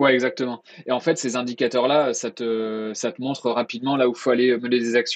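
This man talks at a fairly quick pace and medium pitch. His intonation is monotone and flat. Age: 30s. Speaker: email marketing consultant. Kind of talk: interview.

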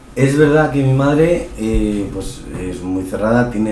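The speech moves at a very slow pace with ordinary pitch variation. There is noticeable background noise and audible room echo. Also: man. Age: 20s. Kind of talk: interview. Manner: halting.

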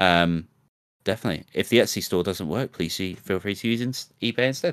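A man with a British accent and a very deep, low pitch is heard dry and close with no echo, on a very clean recording over a silent background. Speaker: podcast co-host and streamer. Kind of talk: casual chat. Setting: live stream studio.

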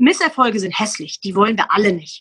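A woman's bright, sharp voice at a fairly quick pace. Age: 40s. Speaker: sales trainer and motivational speaker. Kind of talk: casual interview.

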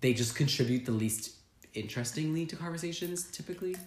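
This man's pitch swings very widely at a fairly quick pace. His voice is somewhat breathy. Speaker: podcast host. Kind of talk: casual chat. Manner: fast talker; animated.

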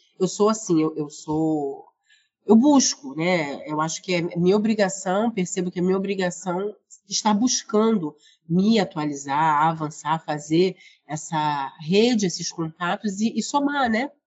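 A woman with an unremarkable speaking voice talks at a fairly slow pace. Her pitch is medium and her intonation lively. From Rio de Janeiro, Brazil. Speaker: librarian and researcher. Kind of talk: interview.

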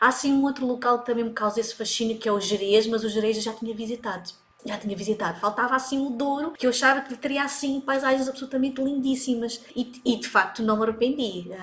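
The speech comes at a very fast pace with hardly any pauses and fairly even intonation. Noticeable background noise runs underneath. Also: woman, high pitch for a woman. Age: 40s. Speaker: digital marketing coach. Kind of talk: casual chat.

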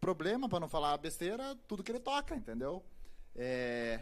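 The man speaks at a fairly quick pace. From Paraná, Brazil (grew up near Curitiba). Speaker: journalist and actor. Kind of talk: casual chat. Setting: live-streamed podcast studio.

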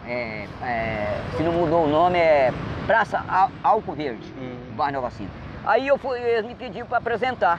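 A man talks at a moderate pace in a high pitch, with very wide pitch swings, big swings in loudness, and noticeable background noise. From Minas Gerais interior, raised in Espírito Santo. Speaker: amateur singer-songwriter. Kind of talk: street interview. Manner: halting.

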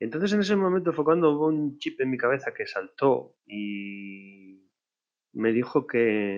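A man's fairly high voice with very wide pitch swings, at a fairly slow pace. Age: 40s. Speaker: podcaster, online marketer. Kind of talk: personal monologue podcast. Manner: halting, many fillers.

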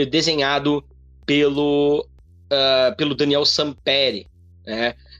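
Intonation stays fairly even as the words come out at a very slow pace. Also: man. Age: 30s. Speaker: comics podcast host. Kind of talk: solo commentary. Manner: halting.

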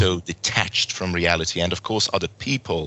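A man's very deep, low voice with a Hungarian accent, at a moderate pace. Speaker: podcast host. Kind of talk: interview. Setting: video call.

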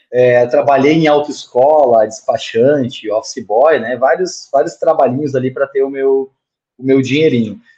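This man has a dark, mellow tone and fairly high pitch, speaking at a moderate pace with fairly even intonation. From Rio Grande do Sul, Brazil (Montenegro). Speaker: sales manager. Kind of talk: casual chat.

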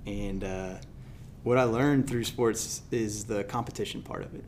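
Over audible room echo, a man speaks at a moderate pace in a medium pitch with fairly even intonation. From Louisiana and Mississippi Gulf Coast. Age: 30s. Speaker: sales trainer and author. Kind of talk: interview.

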